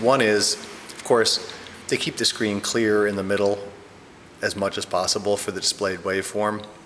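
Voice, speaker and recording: A man talks at a moderate speed while light noise runs in the background. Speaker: product reviewer. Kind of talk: tutorial. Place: home room.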